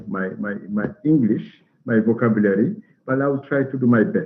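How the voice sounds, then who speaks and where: A man with a French accent, medium pitch, ordinary pitch variation and audible room echo. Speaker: ambassador. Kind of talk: lecture. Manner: halting.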